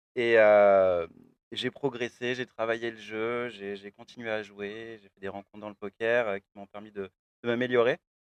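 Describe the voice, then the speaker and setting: Recorded dry and close with no echo, a man speaks fairly slowly in a monotone, flat way while his loudness swings widely. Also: medium pitch for a man. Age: 20s. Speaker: professional poker player. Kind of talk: interview. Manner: hesitant, many fillers.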